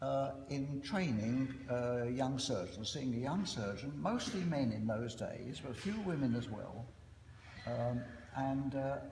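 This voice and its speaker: A man's medium-pitched, lively voice at a fairly slow pace, amid noticeable background noise and audible room echo. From East End of London. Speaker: surgeon and professor. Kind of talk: after-dinner speech. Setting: reunion dinner with audience. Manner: hesitant, many fillers.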